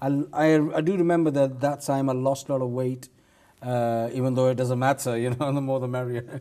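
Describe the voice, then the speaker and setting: Talking at a fairly quick pace, a man has a medium pitch and a slight non-native accent. His intonation stays monotone and flat. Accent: barely noticeable foreign accent in English. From Pakistan. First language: Urdu or Punjabi. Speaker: comedian. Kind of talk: casual chat. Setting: studio.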